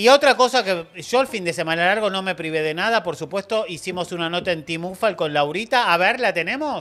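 Lively intonation and a bright, sharp tone carry speech that runs at a fairly quick pace with hardly any pauses. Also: man, high pitch for a man. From Argentina. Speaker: streaming show host; show host. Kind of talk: casual panel chat. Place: studio. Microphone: studio mic.

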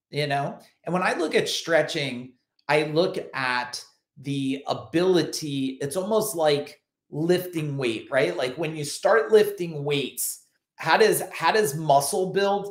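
Amid a quiet background with audible room echo, a man speaks at a very slow pace. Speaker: business coach. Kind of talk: motivational talk to camera. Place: home room. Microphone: webcam.

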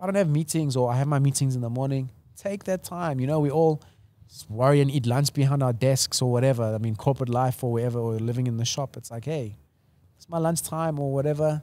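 Dry with no echo, a man's dark, mellow voice moves fairly quickly, with ordinary pitch variation and big swings in loudness. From South Africa, Portuguese family. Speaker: entrepreneur and brand builder; podcast guest. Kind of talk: casual interview chat. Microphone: studio mic.

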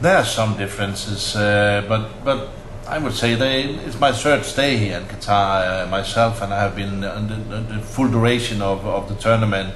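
A man's fairly low voice with audible room echo and light background noise. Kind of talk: interview answer. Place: office.

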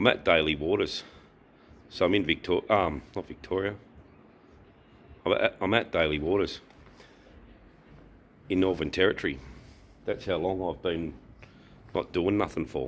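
A man's very deep, low voice at a moderate pace, with ordinary pitch variation and long, frequent pauses. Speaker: motorbike travel vlogger. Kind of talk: casual vlog chat. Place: garage. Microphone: phone near.

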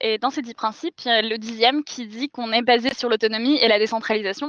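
A woman's fairly high voice at a fairly quick pace, with fairly even intonation, a quiet background and a dry sound with no echo. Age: 20s. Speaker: climate activist, architect. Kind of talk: panel discussion.

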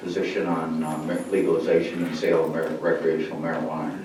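With audible room echo and noticeable background noise, a man rattles along at a very fast pace. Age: 80s+. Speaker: public commenter at village board meeting. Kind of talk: public comment statement. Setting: village board meeting room with microphone. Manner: halting.

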